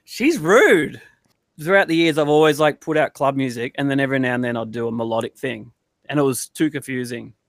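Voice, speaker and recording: In a very clean recording with a silent background and a dry, close sound with no echo, a man with an Australian accent talks at a fairly quick pace. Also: fairly high pitch for a man, ordinary pitch variation. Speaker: DJ and producer. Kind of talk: casual interview chat.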